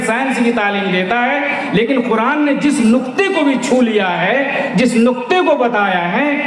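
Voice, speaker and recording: Over noticeable background noise, a man talks at an extremely high pitch. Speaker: Islamic scholar giving a religious sermon. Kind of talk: religious sermon to a large gathering. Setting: public address at a large event with a PA system. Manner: oratorical, emphatic.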